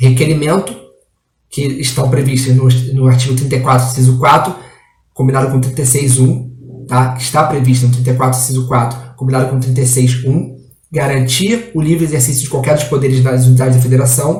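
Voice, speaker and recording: A man with a medium pitch talks at a fairly quick pace in a monotone, flat intonation, somewhat breathy, with audible room echo. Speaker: exam prep law teacher. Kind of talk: online lecture. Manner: halting.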